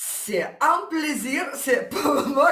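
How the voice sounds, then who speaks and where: A woman with a Ukrainian accent speaks at a very slow pace, and audible room echo surrounds her voice. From Ukraine. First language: Ukrainian or Russian (speaking French). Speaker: aspiring career coach, former logistics manager. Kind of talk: interview testimony. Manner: halting.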